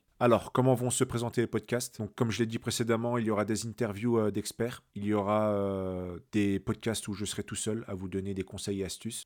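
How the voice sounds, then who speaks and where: On a very clean recording with a silent background, a man speaks in a flat monotone at a fairly low pitch. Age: 30s. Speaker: podcast host, digital freelancer. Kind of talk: casual monologue. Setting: solo at microphone. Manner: hesitant, many fillers.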